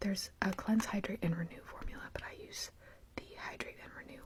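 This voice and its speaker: Someone whispers softly at a moderate pace against noticeable background noise. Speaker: beauty vlogger. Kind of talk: casual chat. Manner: soft-spoken; partly whispering.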